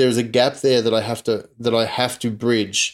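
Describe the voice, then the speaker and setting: Heard in a very clean recording with a silent background, a man with an Australian accent speaks at a moderate pace and a medium pitch. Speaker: podcast host. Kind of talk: casual chat.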